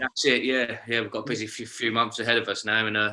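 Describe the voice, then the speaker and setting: In a London accent, a man talks at a very fast pace with a fairly low pitch, a bright, sharp tone and monotone, flat intonation, on a very clean recording with a silent background. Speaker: band member. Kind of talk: casual interview.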